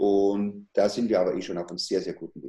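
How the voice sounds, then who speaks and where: Fairly quick in pace, this delivery carries a dark, mellow tone. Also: man. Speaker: chef and cattle breeder. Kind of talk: interview.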